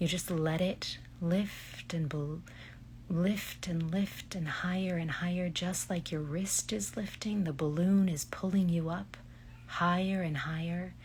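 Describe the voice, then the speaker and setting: A woman with a fairly low pitch talks at a fairly slow pace in a calm, somewhat breathy voice. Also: ordinary pitch variation. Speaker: voice actress and hypnotherapist. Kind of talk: guided relaxation imagery. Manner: slow, soft-spoken, calm.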